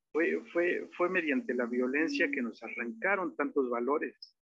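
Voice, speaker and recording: A man at a fairly high pitch, speaking at a fairly slow pace. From Mexico, Oaxaca. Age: 30s. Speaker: musician and songwriter. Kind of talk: interview conversation. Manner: halting, many fillers.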